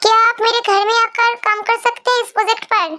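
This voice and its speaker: Over music in the background, a woman does a squeaky, put-on character voice at a very fast pace, keeping her loudness very even. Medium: read story. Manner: warm, reassuring.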